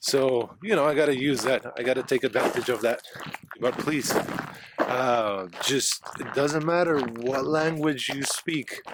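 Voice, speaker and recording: Noticeable background noise surrounds a man speaking with a Spanish accent. His pace is fairly slow and his pitch medium. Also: ordinary pitch variation. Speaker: travel vlogger. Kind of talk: casual vlog talk to camera. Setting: outdoors on a trail. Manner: halting, with fillers and restarts.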